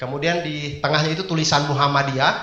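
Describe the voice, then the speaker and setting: Very fast and in an eastern Indonesian accent, a man talks amid noticeable background noise and audible room echo. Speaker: stand-up comedian. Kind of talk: stand-up. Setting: stage with audience.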